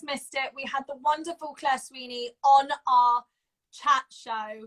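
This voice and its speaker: With a raised, projected voice, a woman speaks at a fairly slow pace in a high pitch and a bright, sharp tone. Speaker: co-host of online talk show. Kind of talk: casual chat. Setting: Instagram live video at home. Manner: animated.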